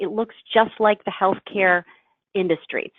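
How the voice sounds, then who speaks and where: A woman's plain, everyday voice at a medium pitch, with ordinary pitch variation. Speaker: health IT standards presenter. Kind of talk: business presentation.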